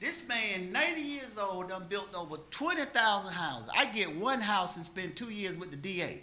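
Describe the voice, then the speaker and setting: A man raises and projects a high-pitched voice at a moderate pace, swinging very widely in pitch amid noticeable background noise and audible room echo. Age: 60s. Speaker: city council member. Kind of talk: council meeting speech. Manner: impassioned.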